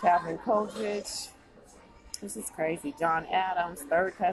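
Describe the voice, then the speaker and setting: A woman with an American accent speaks at a very slow pace and medium pitch. Noticeable background noise is present. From United States. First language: English (not Spanish). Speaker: YouTube vlogger. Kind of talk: casual screen-share commentary. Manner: animated. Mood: amazed, excited. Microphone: phone near.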